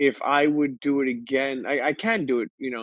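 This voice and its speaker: A man with a New York accent, fairly high pitch and ordinary pitch variation, at a fairly slow pace, with a dry, close sound and no echo. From Brooklyn, New York (Coney Island). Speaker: podcaster. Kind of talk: casual interview. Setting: video call.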